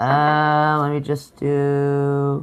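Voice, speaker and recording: A woman with a New York accent and a very deep, low pitch, against a quiet background. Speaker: teacher and live streamer. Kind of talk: casual chat. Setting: live stream. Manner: loud; animated.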